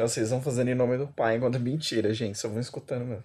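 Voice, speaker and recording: Very fast, somewhat breathy speech with a dark, mellow tone. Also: man. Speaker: podcast co-host. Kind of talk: casual chat. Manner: animated.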